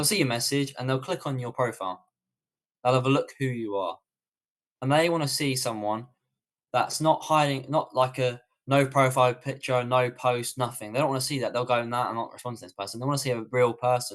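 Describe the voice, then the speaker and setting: A man talks with a British accent at a medium pitch. His pace is fairly quick and his intonation fairly even. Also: quiet background. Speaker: online business coach. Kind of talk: live webinar Q&A. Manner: fast.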